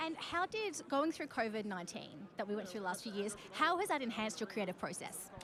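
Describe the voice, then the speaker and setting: Speaking at a fairly quick clip with hardly any pauses, this woman with an Australian accent has a fairly high pitch, very wide pitch swings and an upbeat, enthusiastic tone, with noticeable background noise behind her. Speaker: podcast host and journalist. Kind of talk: red carpet interviews. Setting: outdoor red carpet event.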